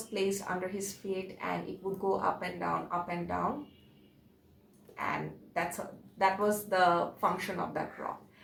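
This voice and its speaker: Audible room echo surrounds a woman speaking at medium pitch with fairly even intonation. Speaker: religious video presenter. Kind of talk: informal religious talk to camera. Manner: halting, many fillers.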